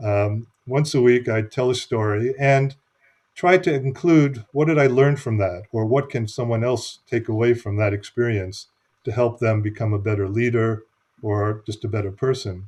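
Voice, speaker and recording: A man with an American accent speaks at a moderate pace and medium pitch, somewhat breathy, with ordinary pitch variation against a quiet background. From United States. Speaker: business consultant and author. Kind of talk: interview.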